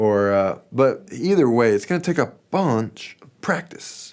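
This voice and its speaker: A man speaks fairly slowly, with a quiet background behind him. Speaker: guitar teacher. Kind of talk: tutorial. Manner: casual. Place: studio.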